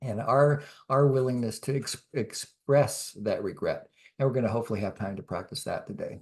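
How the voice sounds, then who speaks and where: With an American accent, a man speaks at a moderate pace with a medium pitch and ordinary pitch variation. His voice is somewhat breathy against a quiet background. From US South, Atlanta. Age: 60s. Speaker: communication workshop leader. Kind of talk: workshop talk. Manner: halting, many fillers.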